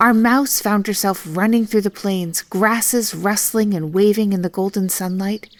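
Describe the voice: With fairly even intonation, this is plain reading aloud.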